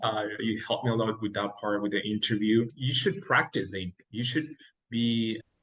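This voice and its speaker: A man with a Mexican accent talks at a moderate pace and a medium pitch, sounding somewhat breathy. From Mexico. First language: Spanish. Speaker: dentist. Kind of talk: interview.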